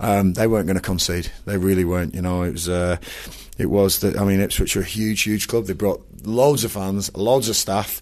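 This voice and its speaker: A man uses a normal speaking voice, fairly low in pitch, with fairly even intonation at a moderate pace. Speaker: football manager. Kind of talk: post-match interview.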